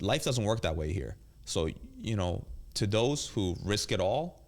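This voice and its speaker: This man talks with vocal fry. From South Korea, moved to Queens NY at eight. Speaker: chef and restaurant owner. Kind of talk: casual interview.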